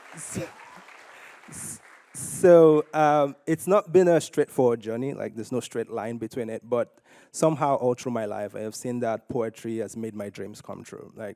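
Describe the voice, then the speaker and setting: Heard in a very clean recording with a silent background and a dry, close sound with no echo, the voice has a dark, mellow tone and big swings in loudness. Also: man, medium pitch for a man, ordinary pitch variation, moderate pace. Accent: Nigerian. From Nigeria. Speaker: poet. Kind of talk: personal story at a conference. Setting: stage with audience.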